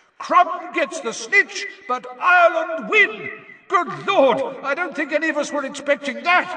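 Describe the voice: A man speaks in a put-on character voice at an extremely high pitch. His tone is bright and sharp, his intonation lively, and his pace fairly slow.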